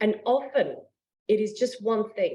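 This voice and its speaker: In an Australian accent, a woman speaks with lively intonation. Her pitch is fairly high, with a dark, mellow tone. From Australia (Adelaide). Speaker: yoga studio owner. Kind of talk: interview.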